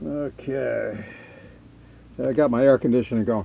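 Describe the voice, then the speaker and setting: The speaker goes at a moderate pace. Noticeable background noise can be heard. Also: man. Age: 60s. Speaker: RV camping vlogger. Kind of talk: casual vlog talk. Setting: outdoors, then inside trailer. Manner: halting, many fillers.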